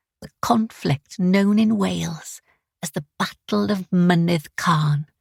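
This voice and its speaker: Somewhat breathy and very slow, a woman speaks with big swings in loudness, the sound dry and close with no echo. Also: fairly low pitch for a woman, lively intonation. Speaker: audiobook narrator. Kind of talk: audiobook narration. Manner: first-person storytelling.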